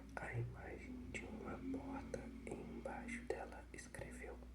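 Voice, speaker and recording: Someone whispers, soft-spoken throughout. Noticeable background noise sits behind the voice. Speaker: ASMR reader. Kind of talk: whispered ASMR book reading. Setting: relaxing sleep-aid video. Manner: whispered, soft.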